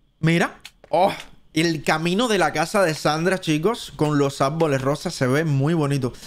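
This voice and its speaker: A man speaks in a Cuban accent at a fairly high pitch, his tone animated and his pitch variation ordinary. The recording is very clean, with a silent background. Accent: Cuban Spanish, drops S sounds. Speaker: gaming streamer. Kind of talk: live stream commentary. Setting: live stream.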